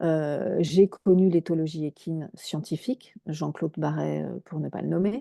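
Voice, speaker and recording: Very deep and low, a woman talks at a fairly slow pace with hardly any pauses, ordinary pitch variation and big swings in loudness, the sound dry and close with no echo. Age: 60s. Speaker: equine therapist. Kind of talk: interview. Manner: hesitant, many fillers.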